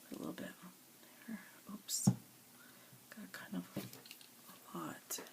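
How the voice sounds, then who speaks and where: A woman whispering in an American accent at a very slow pace, with long, frequent pauses and big swings in loudness. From US South. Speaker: craft tutorial creator. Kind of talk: tutorial. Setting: at home. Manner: casual, thinking aloud.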